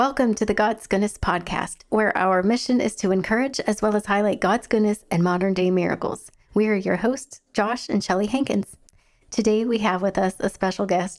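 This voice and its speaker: A woman with a plain, everyday voice speaks at a moderate pace and medium pitch, her intonation fairly even and her loudness very even. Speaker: podcast host. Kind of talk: interview conversation.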